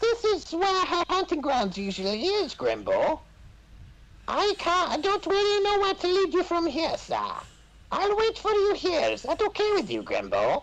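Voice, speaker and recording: A put-on character voice squeaks at an extremely high pitch. It moves at a moderate pace over clear background noise. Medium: game stream. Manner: deferential, repeatedly says sir.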